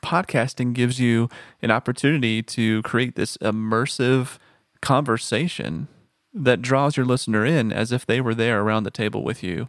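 A man speaks in a plain, everyday voice with an American accent, medium pitch and ordinary pitch variation at a moderate pace. The recording is very clean, with a silent background and a dry, close sound with no echo. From Texas. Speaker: audio producer. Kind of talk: casual chat.

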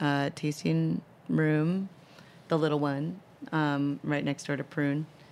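Fairly even intonation runs through this voice, which carries an American accent. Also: woman. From US Midwest, Minneapolis. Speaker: chef and restaurant owner. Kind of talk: interview. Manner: hesitant, many fillers.

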